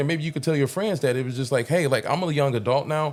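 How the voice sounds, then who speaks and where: A man speaks in a normal speaking voice at a fairly high pitch with ordinary pitch variation. The recording is very clean, with a silent background. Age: adult, parent. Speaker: podcast host. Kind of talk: casual podcast interview.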